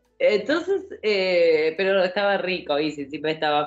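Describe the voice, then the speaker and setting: This is a woman speaking. She talks with a Rioplatense accent. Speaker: podcast co-host. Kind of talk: casual chat.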